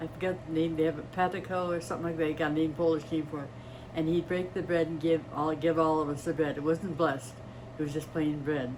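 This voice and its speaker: A woman with an American accent speaks at a very fast pace in a very deep, low voice. Her intonation is monotone and flat, and the room echo is audible. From US Midwest, East Chicago, Indiana. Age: 80s+. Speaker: retired nurse. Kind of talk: interview.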